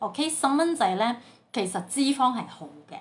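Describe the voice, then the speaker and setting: A somewhat breathy woman's voice with very wide pitch swings and light background noise. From Sandakan, Sabah, Malaysia. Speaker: home baker. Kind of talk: casual Facebook live talk. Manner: chatty, code-switching with English. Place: home room. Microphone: phone near.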